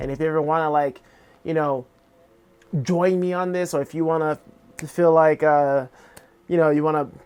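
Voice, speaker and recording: The speaker keeps a moderate pace, broken by long, frequent pauses. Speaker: art vlogger and streamer. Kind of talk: casual vlog monologue. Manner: halting, many fillers; unconfident.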